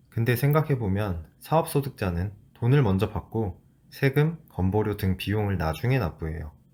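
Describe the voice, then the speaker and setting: Somewhat breathy, a man with a fairly low pitch talks at a moderate pace with lively intonation. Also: very clean recording, silent background. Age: 30s. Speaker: former corporate employee. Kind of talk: personal vlog narration.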